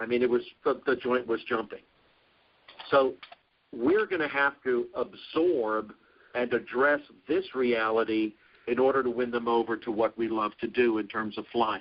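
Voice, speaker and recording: Speaking with an American accent at a moderate pace, the voice has ordinary pitch variation and long, frequent pauses. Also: man, medium pitch for a man. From Brooklyn, New York. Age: 60s. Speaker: professor. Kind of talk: lecture. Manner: halting, many restarts.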